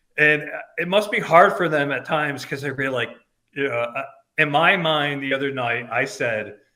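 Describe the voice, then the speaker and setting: This loud man has an American accent and a bright, sharp tone. His pitch is fairly high, with ordinary pitch variation. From upstate New York, Albany. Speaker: band fan. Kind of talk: casual chat.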